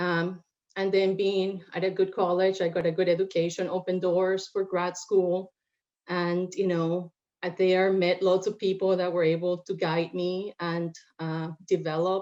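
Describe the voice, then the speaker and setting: At a fairly slow pace, a woman speaks in a dark, mellow tone at medium pitch, her intonation monotone and flat. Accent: Spanish. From Puerto Rico. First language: Spanish. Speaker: lawyer. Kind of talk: panel discussion.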